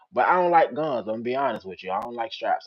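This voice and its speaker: Ordinary pitch variation marks this voice with an American accent. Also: man. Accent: Richmond, Virginia accent noticed by a viewer. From Richmond, Virginia (South Side), US South. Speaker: storyteller streamer. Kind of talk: casual live stream chat reading comments.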